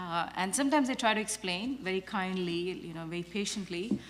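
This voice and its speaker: A woman at medium pitch on a very clean recording with a silent background. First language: not English or French; Indian language. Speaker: professor. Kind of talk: panel discussion. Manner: hesitant, many fillers.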